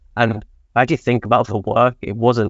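A man speaks with an English accent in a monotone, flat intonation. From England. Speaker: analytics manager. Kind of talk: panel discussion.

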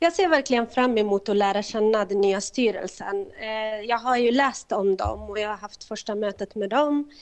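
A woman speaks in a normal speaking voice, fairly high in pitch with ordinary pitch variation. Her pace is moderate with hardly any pauses, over a quiet background. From Kurdistan. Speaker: organization chair. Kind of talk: interview. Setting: phone call.

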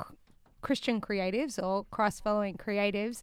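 A woman with an Australian accent speaks in a fairly high pitch with ordinary pitch variation. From Australia, Newcastle NSW. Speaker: musician in a worship band. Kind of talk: casual interview.

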